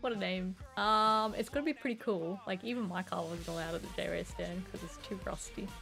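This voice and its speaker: Music plays in the background as a woman talks with hardly any pauses. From northeast Australia (Queensland). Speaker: gaming streamer. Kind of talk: casual live-stream chat. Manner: animated.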